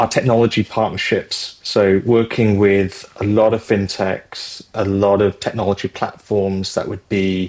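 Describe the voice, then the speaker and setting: A man with a British accent speaks at a fairly low pitch in a flat monotone. He goes fairly slowly, with hardly any pauses. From Britain. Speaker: fintech executive. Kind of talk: interview. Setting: podcast.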